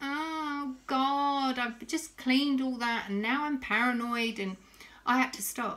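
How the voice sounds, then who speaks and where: Very slow and fairly even in intonation, a woman speaks at high pitch. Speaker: vlogger. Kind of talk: casual vlog chat. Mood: anxious but reflective. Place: kitchen. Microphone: phone near.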